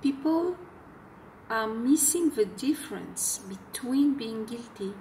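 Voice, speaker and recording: With a French accent, a woman speaks at a very slow pace with ordinary pitch variation against light background noise. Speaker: self-help video blogger. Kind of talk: talking-head advice video. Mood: earnest, explanatory. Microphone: phone near.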